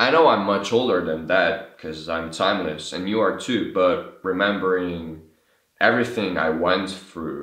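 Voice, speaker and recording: Speaking fairly slowly with a Slovene accent, a man uses lively intonation in a very deep, low pitch. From Slovenia. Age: 20s. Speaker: vlogger. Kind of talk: casual vlog monologue. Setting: talking to camera. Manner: halting.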